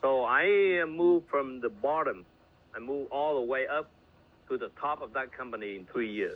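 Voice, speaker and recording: Lively intonation runs through this voice with a Vietnamese accent. The pace is moderate. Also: man, fairly high pitch for a man. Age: 60s. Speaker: network marketing leader. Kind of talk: motivational talk. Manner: halting.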